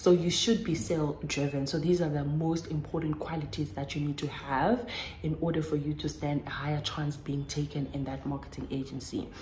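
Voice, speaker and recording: Over noticeable background noise, a woman with a very deep, low pitch talks at a fairly quick pace with ordinary pitch variation. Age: 20s. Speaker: YouTuber. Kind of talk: casual advice talk to camera. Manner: chatty.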